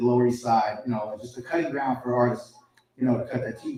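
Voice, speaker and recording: A man with a New York accent talks at a very fast pace. His pitch sits in the medium range. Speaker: hip hop podcaster and journalist. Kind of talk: live panel interview. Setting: stage with live audience. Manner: loud.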